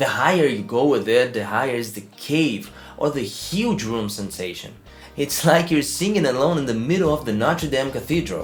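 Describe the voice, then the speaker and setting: With music in the background, a man with a non-native accent speaks at medium pitch and a moderate pace. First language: not English. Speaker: amateur singer. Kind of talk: casual tutorial talk to camera.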